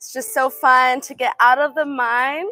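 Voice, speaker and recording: A woman speaks fairly slowly in a high, raised, projected voice, her tone upbeat and warm yet also bright and sharp. The sound is dry with no echo, over a quiet background. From Los Angeles, California. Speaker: yoga instructor. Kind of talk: live-streamed guided yoga class, cueing poses and counting reps. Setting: live stream to online viewers. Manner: upbeat, warm and encouraging, with energetic 'woo' exclamations during effort; brisk, clear, rhythmic cueing in short commands. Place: garden.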